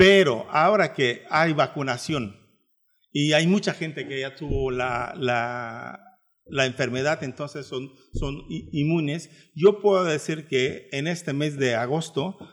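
Speaking very slowly with a Turkish accent, a man uses a fairly high pitch and ordinary pitch variation. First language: Turkish (speaking Spanish). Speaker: travel agency director. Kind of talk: radio interview.

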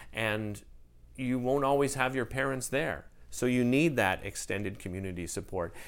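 This man has a normal speaking voice with a Canadian accent, medium pitch, ordinary pitch variation and a moderate pace. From Ottawa, Canada. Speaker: TV host. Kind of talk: interview.

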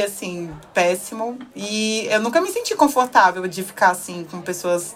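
A woman's medium-pitched voice comes at a moderate pace through noticeable background noise. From Brazil (Salvador / São Paulo). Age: 20s. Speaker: podcast guest. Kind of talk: casual chat.

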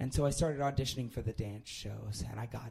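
At a fairly quick pace, a man with a dark, mellow tone and a somewhat breathy medium-pitched voice speaks with ordinary pitch variation. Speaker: improv sci-fi performer, storyteller. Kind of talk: live storytelling, comedic anecdote. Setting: live stage with audience. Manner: hesitant, self-deprecating, ums and restarts.

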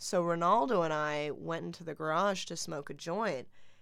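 A woman's normal speaking voice, fairly low in pitch and fairly slow, on a very clean recording with a silent background. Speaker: podcast co-host. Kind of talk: casual chat.

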